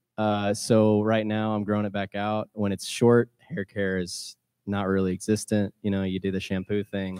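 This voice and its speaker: In an American accent, a man with a fairly low pitch and a dark, mellow tone speaks at a moderate pace in a monotone, flat intonation, the sound dry and close with no echo over a quiet background. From US Midwest, Missouri. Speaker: singer-songwriter. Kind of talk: casual interview chat. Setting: live show with audience.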